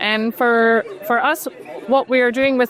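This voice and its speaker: A woman with a Scottish accent speaks over crowd noise in the background. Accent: non-Dutch accent, Scottish. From Scotland. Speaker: startup founder and CEO. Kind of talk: interview conversation. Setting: robotics conference.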